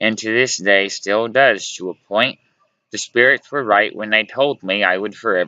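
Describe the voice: Against a quiet background, the plain reading aloud shows ordinary pitch variation.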